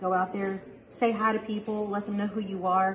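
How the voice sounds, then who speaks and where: Noticeable background noise accompanies a woman speaking at a fairly quick pace with an American accent. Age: 40s. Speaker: business office manager. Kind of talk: interview testimony. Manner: halting.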